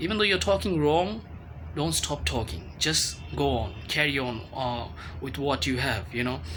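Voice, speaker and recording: A man's medium-pitched voice with vocal fry and a bright, sharp tone, at a fairly slow pace with very wide pitch swings and audible room echo. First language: Bengali. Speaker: English learning vlogger. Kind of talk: informal tutorial talk to camera. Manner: halting, many fillers and repetitions.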